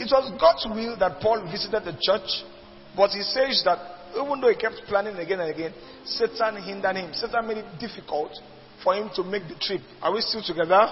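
Over noticeable background noise, a man with a high pitch and ordinary pitch variation speaks at a fairly quick pace. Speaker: preacher. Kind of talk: sermon.

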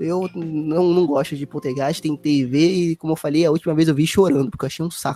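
This is a man with an unremarkable speaking voice. His pitch is fairly high, with ordinary variation. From Brazil. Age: 20s. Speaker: podcast host. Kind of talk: casual chat.

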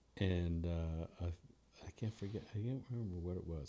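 In a very clean recording with a silent background, a man speaks with an American accent. His very deep, low voice has a dark, mellow tone and sounds somewhat breathy. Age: 60s. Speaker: bass player and orchestra leader. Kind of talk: casual chat. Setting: studio.

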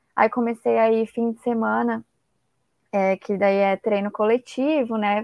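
This woman has an ordinary speaking voice. Her pitch sits fairly high. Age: 20s. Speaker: former triathlete and physical education student. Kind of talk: casual interview.

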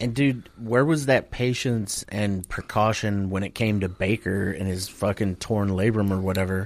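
At a moderate pace, a man with a fairly low pitch and ordinary pitch variation speaks in a normal speaking voice. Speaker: podcast co-host. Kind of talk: casual banter about sports. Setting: remote recording over internet.

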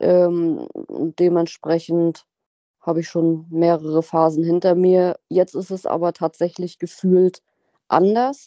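Speaking at a very slow pace, a woman uses a fairly low pitch and a dark, mellow tone with fairly even intonation. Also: dry, close sound with no echo. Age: 30s. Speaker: recovering alcoholic sharing her story. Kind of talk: interview testimony.

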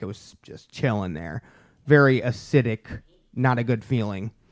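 Against a quiet background, a man speaks in an unremarkable speaking voice at medium pitch with ordinary pitch variation, the sound dry and close with no echo. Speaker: podcast host. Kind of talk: casual comedy banter. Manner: rude, joking, loud.

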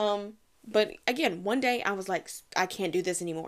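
A woman with an American accent and a plain, everyday voice, at a moderate pace with ordinary pitch variation, in a very clean recording with a silent background. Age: 20s. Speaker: podcast host. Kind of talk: casual solo monologue. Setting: at home, recording in the dark during power outage. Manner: chatty, with fillers.

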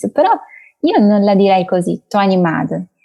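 With a Portuguese accent, a woman talks at a moderate pace in a medium-pitched voice with a dark, mellow tone, the sound dry and close with no echo. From Brazil, Brasilia, moved to Italy at six. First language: Portuguese (speaking Italian). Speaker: language content creator. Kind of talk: interview.

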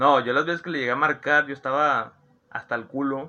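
Speaking at a fairly quick pace, this man has a normal speaking voice and a fairly high pitch. His intonation stays fairly even. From Monterrey, Nuevo León, Mexico. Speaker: podcast host. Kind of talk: casual chat.

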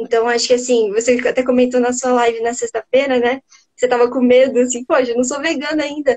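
A woman's high voice at a fairly quick pace, monotone and flat, dry and close with no echo. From southern Brazil, Curitiba. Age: 20s. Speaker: livestream host. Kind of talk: livestream interview.

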